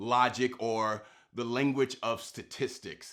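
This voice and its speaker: At medium pitch, a man talks in an unremarkable speaking voice with ordinary pitch variation. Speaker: spoken word poet. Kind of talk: spoken word poem performance.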